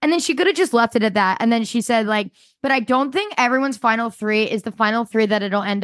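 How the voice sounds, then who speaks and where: A plain, everyday voice from a woman, fairly high in pitch and fairly quick, against a quiet background. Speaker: podcast co-host. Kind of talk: casual chat. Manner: excitable.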